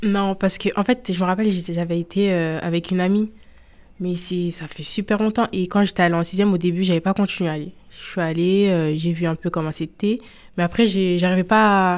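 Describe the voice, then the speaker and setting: This woman has an ordinary speaking voice, pitched at a medium level, with fairly even intonation. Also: moderate pace. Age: 20s. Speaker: student. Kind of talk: radio interview.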